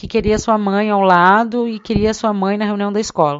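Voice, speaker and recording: A woman's unremarkable speaking voice, medium in pitch, with fairly even intonation at a moderate pace. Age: 30s. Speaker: interviewer and daughter. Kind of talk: personal testimony.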